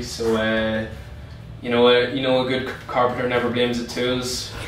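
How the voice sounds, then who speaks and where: A man talks at a fairly quick pace with flat, monotone intonation. The room echo is audible, and there is light background noise. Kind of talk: interview answer. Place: office.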